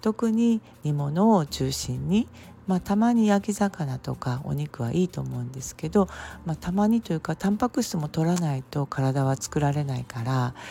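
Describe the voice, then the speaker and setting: A woman's very deep, low voice, dark and mellow and somewhat breathy, makes very wide pitch swings. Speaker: herbal medicine practitioner. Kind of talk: solo podcast talk. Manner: frequent fillers, unhurried.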